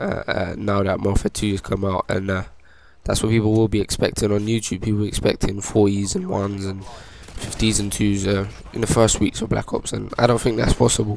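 Quiet and fairly low-pitched, a man talks at a fairly quick pace in a monotone, flat delivery. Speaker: gaming YouTuber. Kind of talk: gameplay commentary. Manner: halting.

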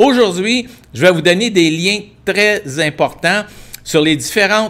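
Here a man talks at a fairly slow pace. His pitch moves an ordinary amount. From Quebec. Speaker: livestream host, tour agency owner; expat advisor host. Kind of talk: live-stream Q&A and practical advice; live stream Q&A explainer. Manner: hesitant, many fillers. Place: home room. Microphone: earbuds.

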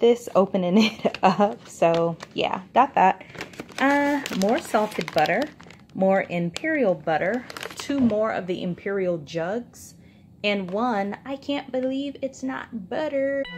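A woman's medium-pitched voice with very wide pitch swings, fairly slow pace and light background noise. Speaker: food haul vlogger. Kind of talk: casual haul show-and-tell. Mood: pleased, chatty. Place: kitchen. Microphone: phone near.

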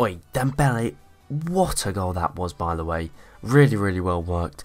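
A man speaks at a moderate pace. Background music plays behind him. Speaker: gaming YouTuber. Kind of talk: video game let's play with live-style football commentary. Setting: home recording over gameplay. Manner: animated, excitable, rising in pitch on goals.

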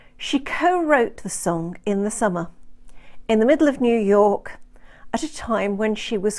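The pace is fairly slow, the tone slightly mellow, and the pitch varies in an ordinary way. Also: woman.

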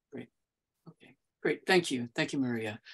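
The pace of this woman's speech is moderate. Behind her, the background is quiet. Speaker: meeting moderator for advocacy group. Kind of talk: moderated meeting. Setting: video call. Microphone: webcam.

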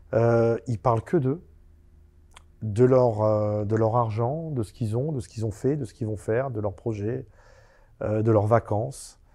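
Against a quiet background, a man talks at medium pitch with a dark, mellow tone and ordinary pitch variation. His pace is fairly slow, with long, frequent pauses. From France, Seine-Saint-Denis (Paris suburbs); France. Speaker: convicted fraudster and author; interview guest. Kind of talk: interview. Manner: halting. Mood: calm storytelling. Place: studio. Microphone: lapel.

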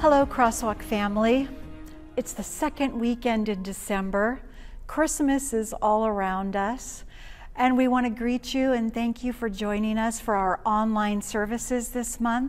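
Music plays in the background. A woman speaks at a fairly slow pace with ordinary pitch variation. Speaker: church connections pastor. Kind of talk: church announcements. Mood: warm, cheerful.

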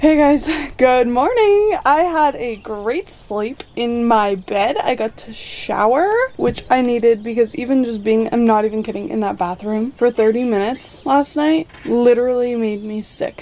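Using a high pitch with ordinary pitch variation, a woman talks at a fairly slow pace. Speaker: vlogger. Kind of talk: casual vlog chat. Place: home room. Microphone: phone near.

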